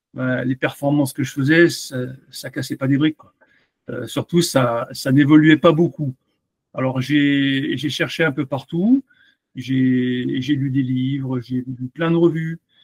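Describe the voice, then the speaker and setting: In a dry, close recording with no echo, a man with a fairly high, somewhat breathy voice speaks at a very slow pace with fairly even intonation and big swings in loudness. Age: 60s. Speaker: amateur cyclist, coaching client. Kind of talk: testimonial interview. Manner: hesitant, many fillers.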